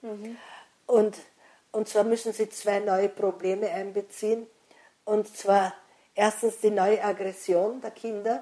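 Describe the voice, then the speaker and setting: A woman speaks at a medium pitch with a dark, mellow tone. Her delivery is very slow and monotone, flat in intonation, with long, frequent pauses. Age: old. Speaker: author and educator. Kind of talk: interview. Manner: halting.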